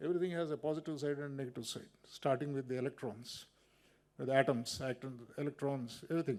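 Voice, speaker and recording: Talking at a very fast pace, a man keeps a fairly high pitch and fairly even intonation. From Andhra Pradesh, south India. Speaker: retired Supreme Court judge. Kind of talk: public speech. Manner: halting.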